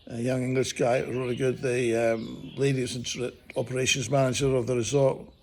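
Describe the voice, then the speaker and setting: A man with a New Zealand accent talks at a moderate pace in a monotone, flat intonation. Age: 60s. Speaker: motorcycle vlogger. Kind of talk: casual video review. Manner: casual, rambling with fillers.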